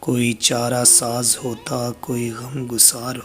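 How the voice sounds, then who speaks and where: A man's voice with music in the background. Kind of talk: poetry reading.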